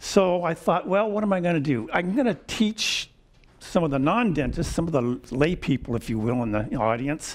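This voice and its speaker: A man with an American accent speaks at a moderate pace in a fairly high pitch. His voice moves in very wide pitch swings. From US West Coast (San Francisco Bay Area). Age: 70s. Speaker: retired dental professor. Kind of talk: lecture. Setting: stage with audience. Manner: hesitant, with fillers.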